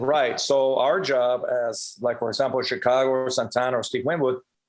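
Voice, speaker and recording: With a Spanish accent, a man speaks at a moderate pace. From Cuba, then Puerto Rico and Las Vegas. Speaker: professional drummer and percussionist. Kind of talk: podcast interview. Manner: conversational, many fillers.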